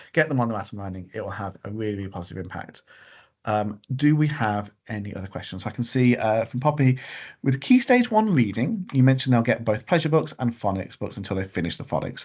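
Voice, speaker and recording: Over a quiet background, a man speaks at a very fast pace with ordinary pitch variation and big swings in loudness. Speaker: school leader. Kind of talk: parent webinar briefing. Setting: online video meeting. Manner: hesitant, many fillers.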